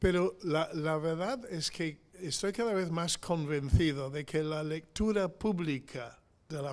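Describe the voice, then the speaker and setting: Pitched fairly high, a man speaks with an English accent. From England. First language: English (speaking Spanish). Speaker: missionary preacher. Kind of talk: sermon. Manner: halting, many fillers.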